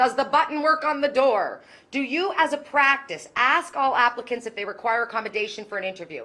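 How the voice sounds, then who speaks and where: A woman speaks in a raised, projected voice with lively intonation and an animated tone. Her pitch is high and her tone bright and sharp. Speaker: keynote speaker on inclusive employment. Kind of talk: conference keynote talk. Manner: loud.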